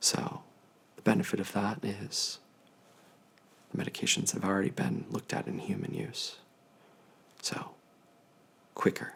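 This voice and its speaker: Whispering in a calm, gentle tone, a man leaves long, frequent pauses over noticeable background noise. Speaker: infectious disease physician. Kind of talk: ASMR telehealth consultation, educational. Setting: video telehealth call. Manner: calm, gentle, soft-spoken.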